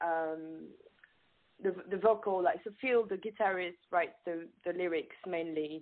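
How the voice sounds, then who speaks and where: A woman with a French accent, fairly low in pitch, fairly slow in pace, with fairly even intonation. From France. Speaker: singer. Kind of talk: casual chat. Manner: halting.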